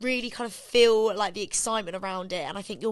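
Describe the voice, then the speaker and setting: The speaker talks with a British accent at a fairly quick pace. The intonation stays fairly even. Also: woman. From England. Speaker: pop singer. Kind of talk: interview. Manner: fast, filler-heavy.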